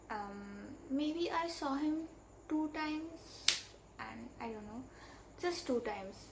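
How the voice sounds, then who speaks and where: A woman with a Bengali accent speaks at a very slow pace. Audible room echo surrounds her voice. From India. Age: young. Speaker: vlogger. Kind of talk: storytime monologue.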